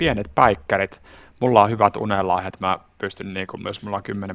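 A man talks in a plain, everyday voice at a fairly low pitch and a fairly quick pace. His intonation is fairly even, and the sound is dry and close with no echo. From Finland, Savo (Siilinjärvi). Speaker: workplace wellbeing coach and entrepreneur, former basketball player. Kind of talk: casual interview chat.

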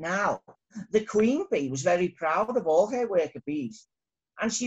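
Plain reading aloud plays out over a quiet background.

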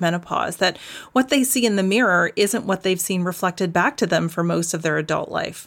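This is a normal speaking voice with a Canadian accent. The intonation is lively. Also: woman. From Canada. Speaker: dietitian and naturopathic doctor. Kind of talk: interview.

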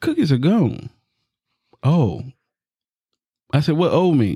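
In an American accent, the speaker goes at a fairly slow pace with long, frequent pauses, in a dry, close sound with no echo. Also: man. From US South. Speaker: podcast host. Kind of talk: casual chat.

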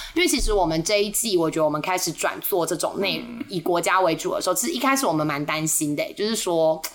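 At a very fast pace with hardly any pauses, a woman speaks at a medium pitch with lively intonation over noticeable background noise. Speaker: podcast host, tour leader. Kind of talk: casual chat.

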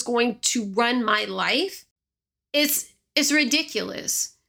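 A woman talks in a raised, projected voice. Her tone is high, bright and sharp. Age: 30s. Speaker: podcast host. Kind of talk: solo podcast monologue, personal storytelling. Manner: fast talker.

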